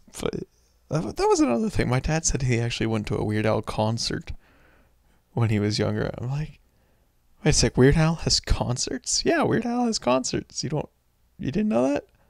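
The recording is very clean with a silent background and a dry, close sound with no echo, as a man with an American accent speaks at a moderate pace with long, frequent pauses. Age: 20s. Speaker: gaming channel vlogger. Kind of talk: casual solo monologue. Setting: home recording while music plays. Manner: halting.

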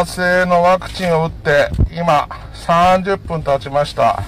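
A man at a high pitch with fairly even intonation, a fairly slow pace, a dry sound with no echo, and faint music in the background. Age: 40s. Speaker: home cook and vlogger. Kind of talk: casual talk to camera. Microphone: phone near.

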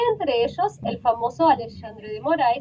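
A woman at a moderate pace, high in pitch, with lively intonation over light background noise. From Brazil. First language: Portuguese (speaking Spanish). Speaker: journalist; journalist guest. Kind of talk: interview. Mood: calm, earnest. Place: home room. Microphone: video call.

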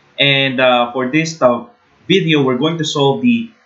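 A man talks with ordinary pitch variation in a quiet setting. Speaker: engineering tutor. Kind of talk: tutorial. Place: home room.

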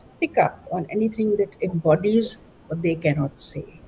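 With light background noise behind her, a woman speaks at a fairly slow pace. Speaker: painter and former professor. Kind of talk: reflective interview. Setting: video call. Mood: reflective, calm. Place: home room.

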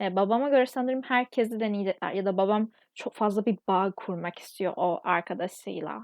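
A woman talks at a fairly high pitch and a moderate pace. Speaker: vlogger. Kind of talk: casual monologue vlog.

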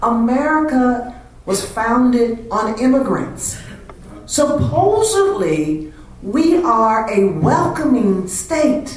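A woman talks at a very slow pace with a high pitch and very wide pitch swings. Her loudness stays very even, and room echo is audible. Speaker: panelist answering audience questions. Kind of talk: panel discussion. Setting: stage with audience. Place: hall.

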